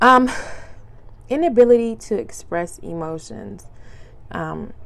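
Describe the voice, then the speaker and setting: Audible room echo surrounds a woman's voice. She talks at a fairly slow pace. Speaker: podcast host. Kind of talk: casual monologue podcast. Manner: casual, filler-heavy.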